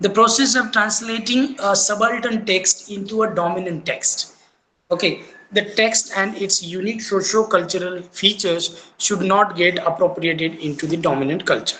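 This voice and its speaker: Moderate-paced speech with a Marathi accent. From India, Maharashtra. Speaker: teacher. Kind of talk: lecture. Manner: halting, with many fillers.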